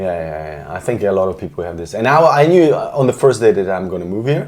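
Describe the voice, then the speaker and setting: A man with a Polish accent speaks at a moderate pace and a fairly low pitch. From Poland, then Germany from age ten. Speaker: composer and artist. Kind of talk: casual interview chat. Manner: halting, with fillers and restarts.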